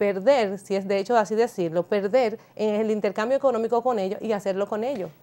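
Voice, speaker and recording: A woman talks in a dark, mellow tone. Her pitch is fairly high. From Dominican Republic. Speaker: international business and social media specialist; talk show guest. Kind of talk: TV panel discussion. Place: studio. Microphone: lapel.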